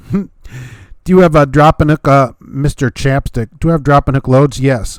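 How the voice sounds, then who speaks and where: Male speech with an American accent, medium pitch and fairly even intonation, in a dry, close sound with no echo. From US Midwest, Hammond Indiana. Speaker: truck driver and YouTube host. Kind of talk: live-stream Q and A, reading viewer chat. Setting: live stream. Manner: casual, conversational with many fillers.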